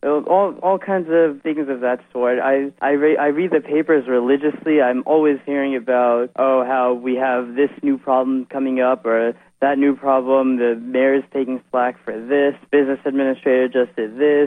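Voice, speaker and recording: A man with an American accent and a plain, everyday voice speaks at a medium pitch and a moderate pace, with fairly even intonation and hardly any pauses. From New Jersey, Edison. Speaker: local party committee member. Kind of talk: radio interview.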